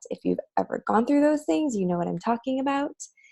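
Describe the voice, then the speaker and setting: A woman's dark, mellow tone. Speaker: vlogger, mother sharing parenting story. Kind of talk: personal testimony to camera. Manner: casual, filler-heavy.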